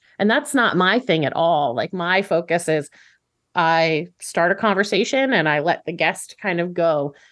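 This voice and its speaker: Against a quiet background, a woman with a fairly low voice speaks at a moderate pace with lively intonation. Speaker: vegan podcaster. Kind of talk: casual chat. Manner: smiling.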